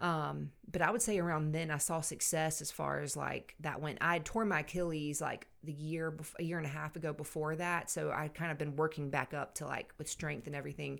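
A woman with an American accent speaks at a fairly quick pace in a very deep, low voice, her intonation fairly even. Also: hardly any pauses. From US South, Savannah, Georgia. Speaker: CrossFit athlete. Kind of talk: casual chat.

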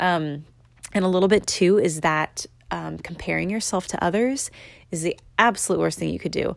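This is a very clean recording with a silent background. A woman speaks at a moderate pace. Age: 20s. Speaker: podcast host. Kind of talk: casual solo monologue. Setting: recording at home in apartment. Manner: filler-heavy, conversational.

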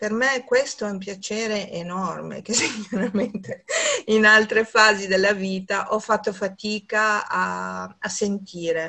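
A woman's medium-pitched voice at a very slow pace, with fairly even intonation. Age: 60s. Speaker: massage therapist. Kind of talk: interview. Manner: halting.

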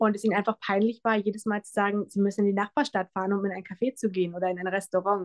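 With hardly any pauses, a woman talks at a very fast pace and medium pitch in a dry, close sound with no echo. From Brandenburg, Germany. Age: 20s. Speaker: pastry chef and café owner. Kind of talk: interview. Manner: animated.

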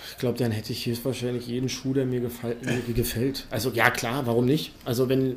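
Amid audible room echo and noticeable background noise, a man speaks at a medium pitch in a monotone, flat intonation. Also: fairly quick pace. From Berlin. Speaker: BMX ramp builder. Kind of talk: casual chat.

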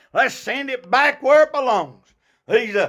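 A raised, projected voice, bright and sharp in tone, with ordinary pitch variation, in a very clean recording with a silent background. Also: man. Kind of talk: fervent Baptist sermon, preaching to a congregation. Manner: animated, exhorting, rhythmic call-and-response with short punchy repeated phrases.

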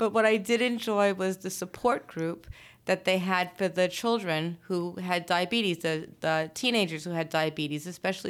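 A woman with an American accent and a plain, everyday voice speaks at a moderate pace with a fairly low pitch and fairly even intonation, on a very clean recording with a silent background. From Brooklyn and Long Island, New York. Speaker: attorney and law firm owner. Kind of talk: interview.

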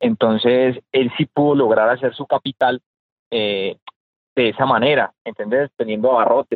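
A man at medium pitch speaks at a fairly slow pace. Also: fairly even intonation. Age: 30s. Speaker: businessman and real estate investor. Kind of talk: interview. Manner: halting.

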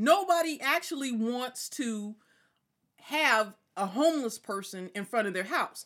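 A woman with an American accent, high-pitched, at a fairly slow pace with very wide pitch swings. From California, Inland Empire (Ontario). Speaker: entrepreneur. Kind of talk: casual chat. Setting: studio, live-streamed.

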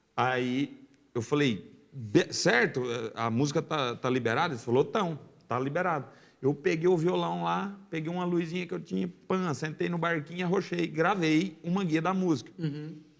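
A man speaks at a moderate pace in an unremarkable speaking voice, fairly high-pitched for a man, with ordinary pitch variation. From Brazil, Goiás (raised in Jaraguá). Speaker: sertanejo singer. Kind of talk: casual chat.

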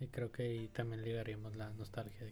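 With music in the background, a man with a Mexican accent speaks at a medium pitch and a moderate pace. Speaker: podcast co-host. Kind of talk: casual chat.

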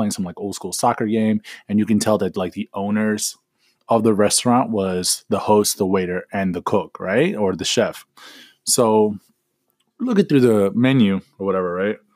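Recorded dry and close with no echo, a man talks with fairly low pitch and fairly even intonation. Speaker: podcast host. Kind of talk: casual storytelling monologue. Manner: fast.

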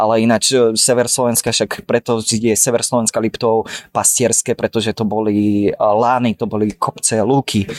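On a dry, close recording with no echo, a man of medium pitch speaks in a monotone, flat intonation at very even loudness. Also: moderate pace. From Slovakia (Dolný Kubín). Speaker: painter and art student. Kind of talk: casual chat. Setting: café in Prague.

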